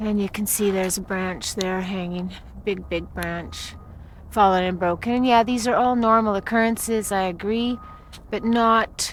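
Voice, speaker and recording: Fairly slow delivery with long, frequent pauses, fairly even intonation and big swings in loudness. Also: woman. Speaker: amateur video blogger filming forest die-off. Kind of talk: walking narration of a home video. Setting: outdoors in woods. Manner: flat, subdued.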